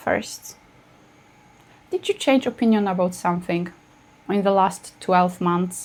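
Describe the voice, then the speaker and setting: Fairly slow speech from a woman with a non-native accent. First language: not English. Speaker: astrologer. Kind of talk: casual video talk to camera.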